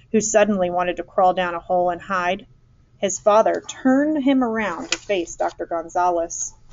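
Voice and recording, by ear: A natural voice, reading aloud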